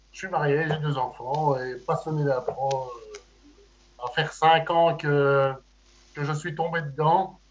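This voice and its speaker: Speaking very slowly with long, frequent pauses, a man keeps a fairly high pitch and fairly even intonation while his loudness swings widely. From Belgium, Liège. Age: 40s. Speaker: amateur improv actor. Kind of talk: casual chat.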